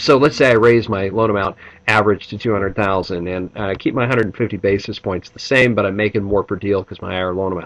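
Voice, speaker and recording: An enthusiastic tone with a Midwestern accent, a fairly quick pace and ordinary pitch variation. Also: man. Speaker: business coach. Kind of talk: pre-event preview video.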